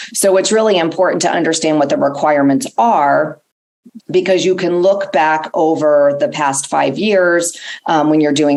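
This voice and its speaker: A very deep, low-pitched female voice with very even loudness and audible room echo. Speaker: family law attorney and board chair. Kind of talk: conference presentation.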